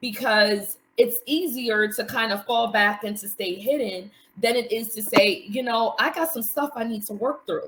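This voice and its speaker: Fairly slow speech from a woman with a plain, everyday voice and a fairly high pitch. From New York City. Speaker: mental health coach, support group facilitator. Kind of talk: live stream interview.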